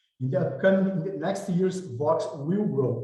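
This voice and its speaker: A man with a Brazilian Portuguese accent speaks in a dark, mellow tone at a moderate pace. His voice makes very wide pitch swings, and audible room echo surrounds it. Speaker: impact investment director and evaluator. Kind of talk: webinar presentation. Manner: halting, with repetitions.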